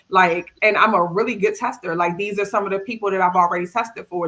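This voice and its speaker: In a strong Maryland accent, the speaker races at a very fast pace with a bright, sharp tone and fairly even intonation. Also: woman. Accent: Maryland accent, still very strong. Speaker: cybersecurity tester. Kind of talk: panel discussion. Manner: casual, conversational.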